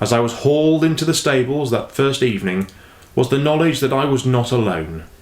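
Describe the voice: Ordinary pitch variation in plain reading aloud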